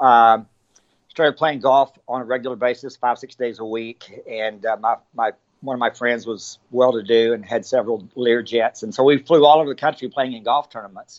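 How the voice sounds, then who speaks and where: A man talks at a moderate pace with a Texan accent. His pitch is medium and his intonation fairly even. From Texas, Abilene. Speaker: ultrarunner and running store owner. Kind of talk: interview conversation.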